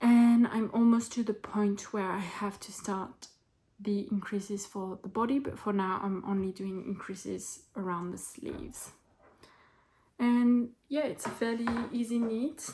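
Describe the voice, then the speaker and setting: Somewhat breathy, a woman's dark, mellow voice at a medium pitch goes at a fairly slow pace with ordinary pitch variation. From France. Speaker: knitting vlogger. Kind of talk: casual talk to camera.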